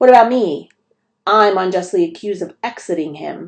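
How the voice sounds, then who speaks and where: In a put-on character voice, a female-sounding speaker uses a middle pitch with a hissing quality. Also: moderate pace. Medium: read story. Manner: hissing, haughty.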